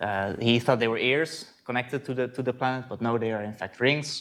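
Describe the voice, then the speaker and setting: In a very clean recording with a silent background, a man with a Dutch accent talks at a moderate pace. His pitch is medium and his intonation fairly even. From Netherlands, Voorburg (South Holland). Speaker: astronomy lecturer. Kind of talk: conference talk. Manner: hesitant, many fillers and repeats.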